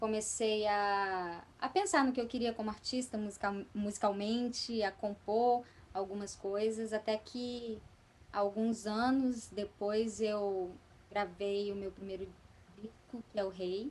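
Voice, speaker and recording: Speaking at a very slow pace, a woman keeps a fairly high pitch and fairly even intonation. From Espírito Santo, Brazil. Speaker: actress, voice actress and singer. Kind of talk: podcast interview answer.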